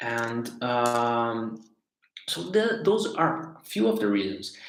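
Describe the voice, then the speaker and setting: In a Portuguese accent, a man speaks at a very slow pace with medium pitch and ordinary pitch variation, with audible room echo. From Brazil. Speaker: life coach / facilitator. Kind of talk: live stream talk. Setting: livestream on social media. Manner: halting, many repetitions and fillers.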